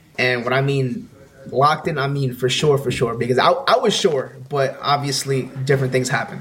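With a New York accent, a man speaks at a fairly high pitch with ordinary pitch variation in a room with audible echo. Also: moderate pace. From US, Bronx, New York. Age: 20s. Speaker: music producer and YouTuber. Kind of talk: casual chat.

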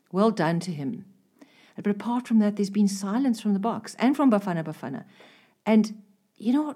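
Her medium-pitched voice is somewhat breathy with a dark, mellow tone, and the woman speaks at a fairly quick pace with lively intonation and long, frequent pauses. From South Africa. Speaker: freelance copywriter. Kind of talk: interview. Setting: studio.

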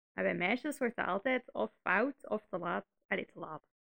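This woman has a Flemish accent. She talks at a moderate pace. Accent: Flemish Dutch. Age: 20s. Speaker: podcast co-host. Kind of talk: casual chat.

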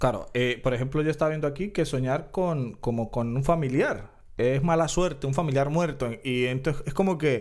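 With a normal speaking voice, a man at a fairly high pitch talks at a moderate pace with hardly any pauses and ordinary pitch variation. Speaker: podcast co-host. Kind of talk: casual chat.

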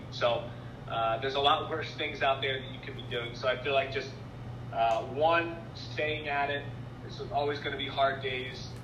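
There is audible room echo and noticeable background noise as a man talks with an American accent. His medium-pitched voice is monotone and flat at a moderate pace. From Philadelphia. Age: young. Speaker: TV sports anchor. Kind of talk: interview.

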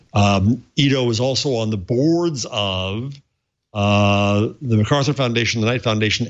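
A man has an unremarkable speaking voice at a medium pitch with ordinary pitch variation. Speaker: professor panelist. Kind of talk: casual chat.

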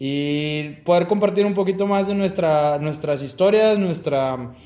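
A man speaks at a fairly slow pace with lively intonation, and the room echo is audible. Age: 20s. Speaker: podcast co-host, mechatronics engineer. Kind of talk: casual chat.

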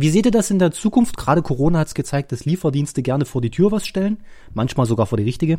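Words pour out at a very fast pace on a very clean recording with a silent background. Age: 30s. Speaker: podcast host. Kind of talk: casual chat.

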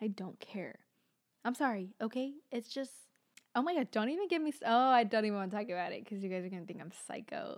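A woman speaks very fast in a fairly high voice with lively intonation. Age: 20s. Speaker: podcast host. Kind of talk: casual monologue. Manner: chatty, laughing often.

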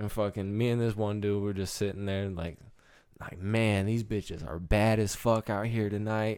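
A man speaks in a normal speaking voice with an American accent, his fairly low pitch and fairly even intonation moving at a moderate pace. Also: very clean recording, silent background. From Michigan. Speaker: podcast co-host. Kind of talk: casual chat.

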